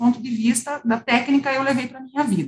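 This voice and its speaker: At a fairly quick pace, a woman talks with a high pitch. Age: 40s. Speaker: lawyer and independent board member. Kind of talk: interview.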